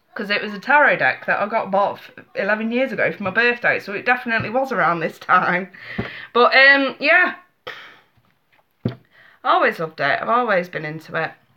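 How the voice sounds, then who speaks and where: A woman with an English accent speaks at a fairly high pitch and a fairly quick pace, with long, frequent pauses. Her pitch swings very widely and her loudness swings a lot. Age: 30s. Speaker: tarot reader. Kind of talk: live stream chat. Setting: live webcam stream. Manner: animated.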